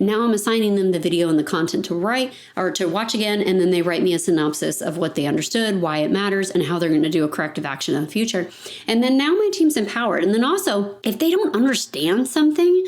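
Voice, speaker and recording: A woman at medium pitch and a very fast pace, with very wide pitch swings, very even loudness and noticeable background noise. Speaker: financial advisory firm owner. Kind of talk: podcast monologue.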